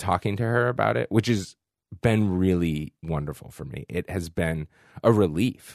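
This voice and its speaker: This man has an American accent and lively intonation, recorded with a dry, close sound with no echo and a quiet background. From Boston, Massachusetts. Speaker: books editor. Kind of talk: interview.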